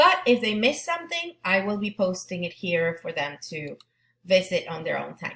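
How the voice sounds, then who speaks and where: A woman with a Spanish accent, at a moderate pace, with big swings in loudness. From Argentina. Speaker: Spanish teacher. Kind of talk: back-to-school presentation to parents. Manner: halting.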